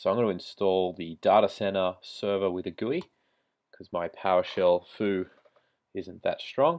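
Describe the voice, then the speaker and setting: A man with an Australian accent at a moderate pace. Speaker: IT tutorial creator. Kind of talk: screen-recorded tech tutorial. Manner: casual, conversational.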